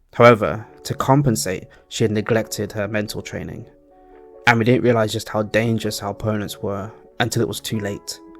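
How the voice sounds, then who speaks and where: With music in the background, fairly quick speech carries fairly even intonation. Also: man, fairly low pitch for a man. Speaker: storyteller / channel host. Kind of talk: fantasy story narration. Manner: calm, relaxing.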